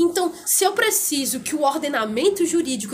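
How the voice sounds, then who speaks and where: A woman is speaking. Her pitch swings very widely. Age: 20s. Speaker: law student and political blogger. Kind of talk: casual interview chat.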